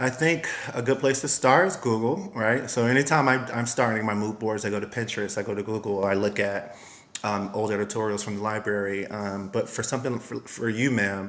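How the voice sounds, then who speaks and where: Noticeable background noise sits behind a man with an American accent and fairly low pitch. He talks at a fairly quick pace with fairly even intonation. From US, Miami, Florida. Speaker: costume designer and stylist. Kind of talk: interview.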